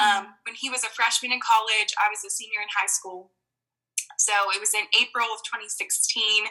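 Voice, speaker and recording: A woman with an American accent speaks at a moderate pace. Her fairly high pitch has monotone, flat intonation. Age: 20s. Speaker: wedding photographer. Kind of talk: casual chat.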